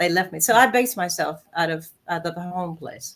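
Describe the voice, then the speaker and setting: A woman with an American accent, fairly low in pitch, ordinary pitch variation, moderate pace. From US South, South Carolina. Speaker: singer. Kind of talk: interview.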